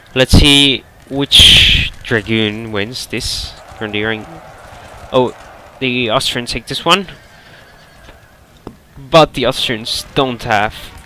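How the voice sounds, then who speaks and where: A man's medium-pitched voice at a very slow pace, with ordinary pitch variation, long, frequent pauses and noticeable background noise. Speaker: game match commentator. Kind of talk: video game match commentary.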